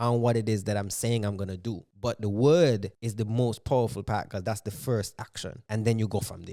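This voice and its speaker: A man with a dark, mellow tone speaks with hardly any pauses on a very clean recording with a silent background. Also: fairly low pitch for a man, fairly even intonation, fairly quick pace. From St. Kitts. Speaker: spoken word artist. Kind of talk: casual chat.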